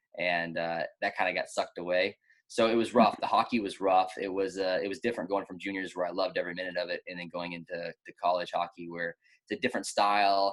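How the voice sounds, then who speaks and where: Speaking at a very fast pace, a man with a Texan accent uses a fairly low pitch and fairly even intonation. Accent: Texan American English. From Texas, Austin. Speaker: ice cross downhill athlete and gym coach. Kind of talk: casual interview chat.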